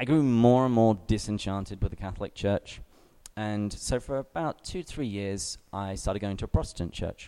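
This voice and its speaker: This man talks at a fairly quick pace with an English accent, his fairly low voice dark and mellow in tone, with ordinary pitch variation. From England. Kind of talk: talk to young adult group.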